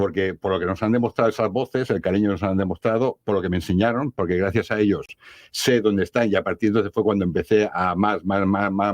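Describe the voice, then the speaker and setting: Against a quiet background, a man with a fairly low pitch talks at a fairly quick pace with ordinary pitch variation, in a dry, close sound with no echo. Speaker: paranormal investigator. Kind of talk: radio interview. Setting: radio studio. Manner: fast.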